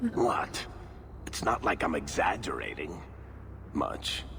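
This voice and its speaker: Over loud background noise, a man puts on a character voice. He speaks at a fairly slow pace. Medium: video game.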